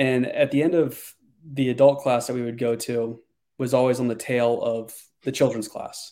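On a very clean recording with a silent background, a man in an American accent speaks with a dark, mellow tone and monotone, flat intonation. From Connecticut, Danbury. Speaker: former special operations officer, company executive. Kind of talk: interview, casual conversation.

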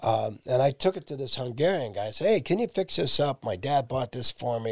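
A man talks at a moderate pace in an ordinary speaking voice with lively intonation. The sound is dry and close with no echo, and the recording is very clean over a silent background. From Ohio, Massillon. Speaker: accordion player and lead singer. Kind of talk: casual chat.

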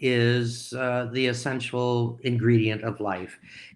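The recording is very clean with a silent background as a man speaks at medium pitch with an Upper Midwest accent. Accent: Upper Midwest (Minnesota). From rural Minnesota. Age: 70s. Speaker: entrepreneur and investor. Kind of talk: interview. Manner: halting.

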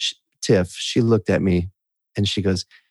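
The voice is somewhat breathy, with an American accent and ordinary pitch variation. The sound is dry and close, with no echo. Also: man. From US Midwest (Wisconsin). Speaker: musician in recovery. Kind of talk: interview testimony.

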